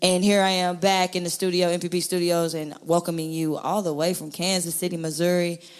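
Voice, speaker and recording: An animated woman with an American accent, fairly low-pitched, at a fairly quick pace with hardly any pauses. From US South. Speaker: podcast host. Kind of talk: podcast interview. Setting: studio.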